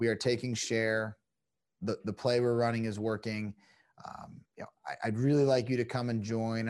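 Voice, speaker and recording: An unremarkable speaking voice, a man's at medium pitch with an American accent, moves at a fairly quick pace over a quiet background. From New Jersey. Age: 30s. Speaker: business executive, former pro hockey player. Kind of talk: interview conversation.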